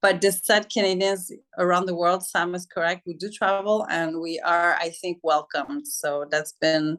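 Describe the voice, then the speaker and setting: A woman with a French accent speaks at a moderate pace with hardly any pauses. Her fairly low voice shows ordinary pitch variation. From Quebec, Montreal. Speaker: interviewee on intercultural perspectives. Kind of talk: interview.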